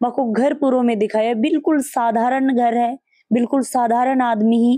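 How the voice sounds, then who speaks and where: Against a quiet background, a woman with a high-pitched voice and a dark, mellow tone speaks at a fairly slow pace, the sound dry with no echo. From Shekhawati, Rajasthan; Rajasthan. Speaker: local news reporter. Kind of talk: field interview. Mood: warm, appreciative. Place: home room. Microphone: handheld.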